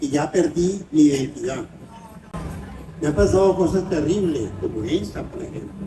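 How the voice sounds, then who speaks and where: A man talks fairly slowly while background noise is noticeable. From Venezuela, Caracas. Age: 90s. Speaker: writer and film critic. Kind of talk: interview.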